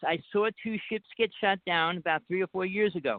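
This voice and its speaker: Speaking in a New Jersey accent, a man with a high pitch keeps fairly even intonation at a moderate pace. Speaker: caller. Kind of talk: casual chat. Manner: hard to understand.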